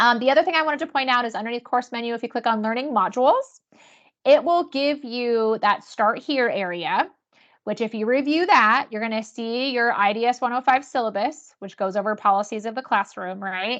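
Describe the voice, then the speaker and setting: A woman speaks at a fairly quick pace in a high voice. Her pitch varies in an ordinary way against a quiet background. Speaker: university instructor. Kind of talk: webinar tutorial. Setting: webinar video call. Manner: fast.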